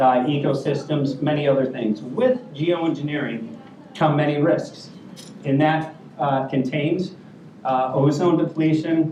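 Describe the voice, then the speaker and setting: With an American accent, the speaker talks at a fairly slow pace with ordinary pitch variation and very even loudness, amid noticeable background noise and audible room echo. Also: man, fairly high pitch for a man. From US, California. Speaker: workshop moderator, filmmaker. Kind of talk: panel introduction speech. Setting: conference room with audience.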